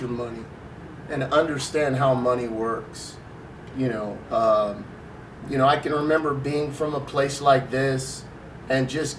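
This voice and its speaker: A man with a fairly high voice speaks with fairly even intonation over noticeable background noise, with audible room echo. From US West Coast (Long Beach, California). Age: 60s. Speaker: school staff member. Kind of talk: interview.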